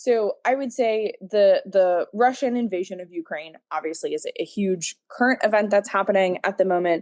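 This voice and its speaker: Speaking with an American accent, a woman uses a normal speaking voice at a medium pitch with ordinary pitch variation, a moderate pace and hardly any pauses. The sound is dry and close with no echo, over a quiet background. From United States. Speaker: former museum docent. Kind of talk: interview answer. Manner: many fillers, um and like.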